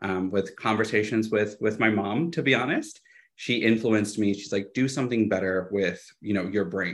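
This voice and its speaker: Using an ordinary speaking voice, a man talks at a moderate pace with a fairly low pitch and ordinary pitch variation. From Texas (Austin), born in Guadalajara, Mexico. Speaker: political activist and candidate. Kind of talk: interview.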